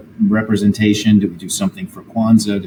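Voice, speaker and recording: The speaker has an American accent, and noticeable background noise is present. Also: man. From US Northeast, near Philadelphia. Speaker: HR executive and author. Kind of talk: interview conversation. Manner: hesitant with filler words.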